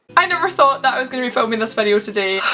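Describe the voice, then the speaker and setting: A woman speaks in a raised, projected voice. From Scotland. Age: young. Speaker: YouTuber. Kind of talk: casual talk to camera.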